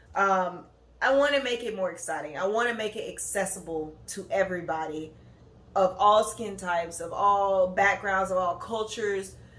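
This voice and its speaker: The voice is a normal speaking voice. Its pitch variation is ordinary. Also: woman, medium pitch for a woman, moderate pace. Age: 20s. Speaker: podcast host, graduate student. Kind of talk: casual monologue podcast. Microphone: no proper microphone, built-in device mic.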